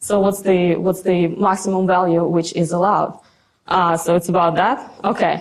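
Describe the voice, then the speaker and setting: A woman with a strong Russian accent at medium pitch and a moderate pace, flat monotone intonation, very even loudness and audible room echo. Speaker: conference speaker, software developer. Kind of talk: conference talk with live demo. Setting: stage with audience. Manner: halting, many fillers and repetitions.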